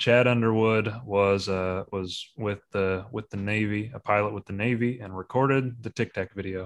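In a normal speaking voice, a man with an American accent talks at a moderate pace with hardly any pauses and a fairly low pitch, the sound dry and close with no echo. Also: fairly even intonation, quiet background. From US Midwest. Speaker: podcast host. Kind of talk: casual chat.

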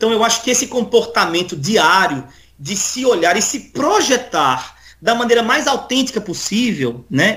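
With a bright, sharp tone and a high pitch, a man speaks fairly slowly, his pitch swinging very widely. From Northeast Brazil (Paraíba), raised there from childhood. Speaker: musician and theologian. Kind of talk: casual interview. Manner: halting, many fillers.

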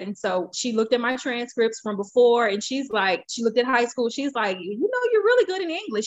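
At a fairly quick pace, a woman talks with a fairly high pitch.

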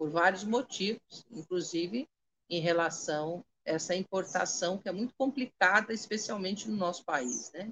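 Her pitch sits in the medium range for a woman, and her pace is moderate. The woman's intonation has a lively quality. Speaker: Candomblé priestess. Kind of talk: spiritual talk on a live stream. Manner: articulate, clear oratory.

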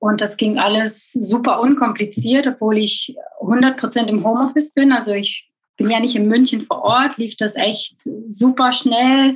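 The talker has an unremarkable speaking voice. The pace is fairly slow, and the intonation is fairly even. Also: woman, fairly high pitch for a woman. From Belgium. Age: 30s. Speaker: e-commerce content manager. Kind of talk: interview.

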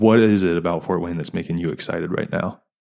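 A man talks with an American accent. His tone is dark and mellow, and his intonation fairly even. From US East Coast. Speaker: podcast host. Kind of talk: casual chat.

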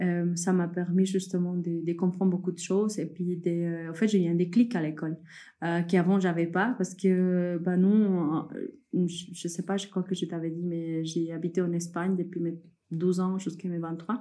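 A woman speaks with monotone, flat intonation in a dark, mellow tone. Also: fairly low pitch for a woman, moderate pace. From Peru. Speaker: coffee entrepreneur. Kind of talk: interview conversation. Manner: hesitant with fillers.

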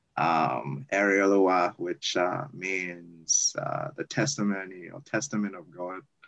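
A man's fairly low voice at a very slow pace. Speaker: university student. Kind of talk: casual interview.

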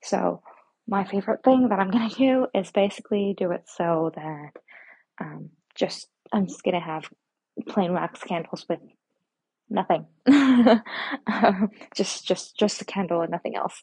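The speaker whispers fairly slowly, with long pauses that come often. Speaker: podcast host. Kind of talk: casual monologue. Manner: whispering; soft-spoken.

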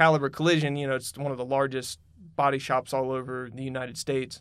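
Speaking at a very fast pace with a Southern US accent, the man keeps a medium pitch and a monotone, flat intonation. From North Carolina, Huntersville area. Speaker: construction supervisor. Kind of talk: casual interview. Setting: studio.

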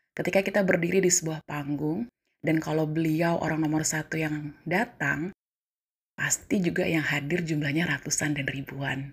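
A somewhat breathy voice with fairly even intonation at a moderate pace. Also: woman, very deep, low pitch for a woman. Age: 30s. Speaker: civil servant. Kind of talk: personal storytelling monologue.

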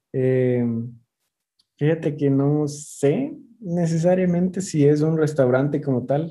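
A man speaks in a dark, mellow tone. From Ecuador. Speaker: chef. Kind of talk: interview. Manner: halting, many repetitions.

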